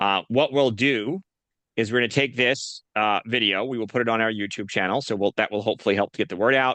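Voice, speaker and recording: A man rattles along very fast, his medium pitch varying in an ordinary way. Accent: Northeastern US. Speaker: nonprofit association host. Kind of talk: video call interview.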